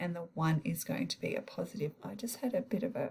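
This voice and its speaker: A woman speaks at a fairly quick pace with vocal fry. Her pitch variation is ordinary. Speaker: maths teacher. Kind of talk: tutorial.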